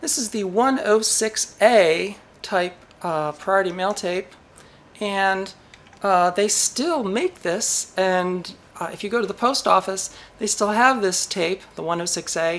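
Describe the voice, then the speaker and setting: Speaking very slowly, a woman keeps her pitch variation ordinary. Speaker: electronics hobby channel host. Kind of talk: casual vlog chat. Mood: playful, mildly exasperated. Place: workshop.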